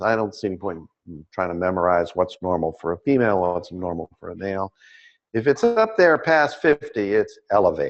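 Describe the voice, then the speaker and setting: Against a quiet background, a man with a fairly low pitch talks at a moderate pace, his voice making very wide pitch swings. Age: 60s. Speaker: optometry lecturer. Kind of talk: lecture. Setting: webinar with live audience.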